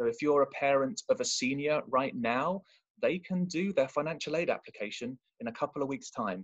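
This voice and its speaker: The voice moves at a fairly quick pace with very wide pitch swings. The sound is dry and close, with no echo. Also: man, fairly high pitch for a man. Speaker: college admissions representative. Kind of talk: presentation. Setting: video call. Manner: fast.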